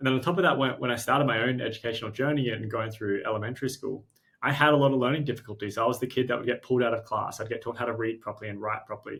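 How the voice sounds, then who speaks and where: At a very fast pace, a man with a strong Australian accent speaks at a medium pitch with fairly even intonation. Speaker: startup co-founder and CEO. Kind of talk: interview conversation. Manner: halting, many repeated words.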